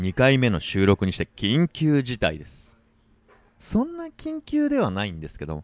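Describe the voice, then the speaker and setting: In a dry, close recording with no echo and a quiet background, a man of medium pitch speaks fairly slowly, with very wide pitch swings and big swings in loudness. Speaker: snowboard podcast host. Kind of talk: casual chat. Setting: bar or restaurant. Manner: animated.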